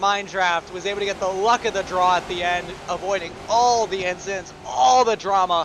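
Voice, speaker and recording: Over noticeable background noise, a man talks at a moderate pace with a high pitch and ordinary pitch variation. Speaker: sim racing commentator. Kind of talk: live commentary. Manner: animated.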